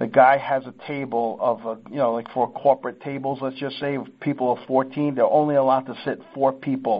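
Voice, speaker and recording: The man has an ordinary speaking voice at a medium pitch. His pace is moderate and his intonation fairly even. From Sicily, Italy; raised in US from age five. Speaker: seafood business owner. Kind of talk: casual chat.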